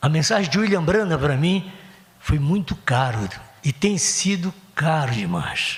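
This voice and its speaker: Noticeable background noise surrounds a man whose fairly high voice carries lively intonation. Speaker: pastor. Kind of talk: sermon. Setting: church. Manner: fast; animated.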